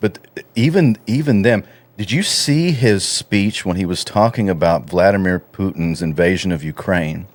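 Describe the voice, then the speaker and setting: A man with a Texan accent speaks in a fairly low voice. His intonation is lively. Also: moderate pace. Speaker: researcher and radio host. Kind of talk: casual podcast conversation.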